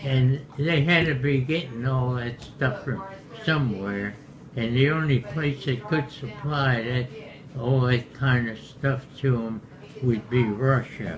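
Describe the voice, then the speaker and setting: A man talks at a very slow pace with medium pitch and ordinary pitch variation. Noticeable background noise is present. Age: 100s (80s+). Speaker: war veteran. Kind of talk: casual chat. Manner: halting.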